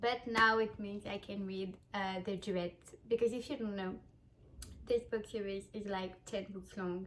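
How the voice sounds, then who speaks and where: At a fairly slow pace, a woman with a French accent speaks at a medium pitch in a flat, monotone way. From France. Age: 20s. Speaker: vlogger. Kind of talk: casual chat. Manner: halting.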